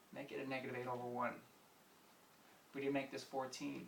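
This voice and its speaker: Room echo is audible as a man speaks with an American accent. His pitch is medium and his pace fairly quick. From US Northeast. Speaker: math teacher. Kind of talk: tutorial. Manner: fast; animated.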